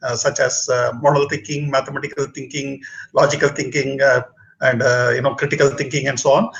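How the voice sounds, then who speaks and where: Delivered at a fairly quick pace, the speech comes with a Tamil accent. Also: man. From southern India, Bangalore. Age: 60s. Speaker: retired engineer and public speaking mentor. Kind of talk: casual talk show conversation. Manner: halting, many fillers.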